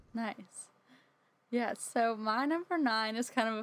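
An unremarkable speaking voice with an American accent talks at a fairly slow pace on a very clean recording with a silent background. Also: woman. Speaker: theater graduate and actress. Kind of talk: casual chat.

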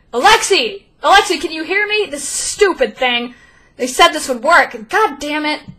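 A woman shouts in a put-on character voice at a high pitch. She keeps a moderate pace, with big swings in loudness. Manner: shouting.

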